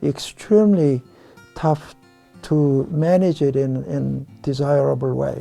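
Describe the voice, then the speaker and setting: At a very slow pace, a man speaks over music in the background. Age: 70s. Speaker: fly tier. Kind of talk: tutorial demonstration. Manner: hesitant, many fillers.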